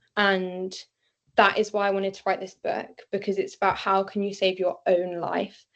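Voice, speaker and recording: A woman talks with a British accent at a moderate pace. The background is quiet. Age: young. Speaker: neurodivergent advocate and author. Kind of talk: interview answer. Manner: hesitant, many fillers.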